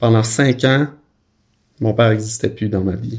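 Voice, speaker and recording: Here a man speaks with a Quebec accent. His voice has a fairly low pitch and a dark, mellow tone. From Quebec, Saguenay-Lac-Saint-Jean (Roberval). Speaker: film director. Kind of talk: interview storytelling. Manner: casual, many hesitations.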